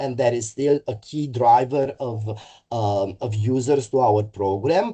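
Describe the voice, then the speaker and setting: In a quiet background, a man with a Romanian accent speaks in a dark, mellow tone. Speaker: mental health services executive. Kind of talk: webinar presentation. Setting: online webinar. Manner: halting, frequent fillers.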